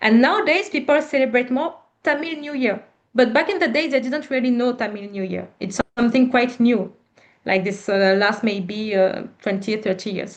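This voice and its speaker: With lively intonation and a high pitch, a woman talks at a moderate pace. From Reunion Island. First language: French. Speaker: panel speaker on diaspora history. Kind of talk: Q&A discussion.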